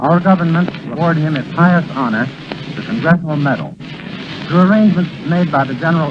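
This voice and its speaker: A man with a fairly high voice talks fairly quickly, his pitch moving in an ordinary way, while noticeable noise fills the background. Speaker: radio announcer. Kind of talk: 1928 radio broadcast announcement. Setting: old radio broadcast recorded from disc.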